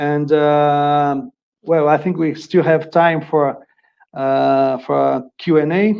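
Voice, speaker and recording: In a strong Brazilian accent, a man speaks very slowly at a fairly high pitch with fairly even intonation. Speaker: agricultural inspection executive presenter. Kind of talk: webinar presentation. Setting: online webinar. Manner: halting, many fillers and repetitions.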